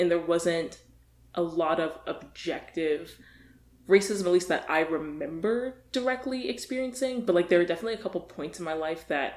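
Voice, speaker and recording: At a moderate pace, a woman speaks with lively intonation. Her voice is a plain, everyday voice with a fairly low pitch. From US South, Virginia. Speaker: podcast guest. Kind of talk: casual chat.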